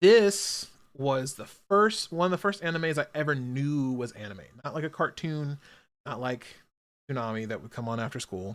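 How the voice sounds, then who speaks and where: Speaking at a moderate pace with a fairly high pitch, a man uses lively intonation, big swings in loudness and long, frequent pauses. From United States. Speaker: anime streamer. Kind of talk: casual chat. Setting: live stream. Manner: animated.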